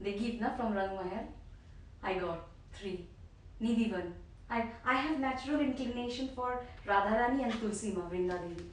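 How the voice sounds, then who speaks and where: Taking long, frequent pauses, a woman speaks at a moderate pace in a fairly high voice with ordinary pitch variation, with noticeable background noise and audible room echo around her. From Bengal, India. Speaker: disciple. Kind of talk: casual chat.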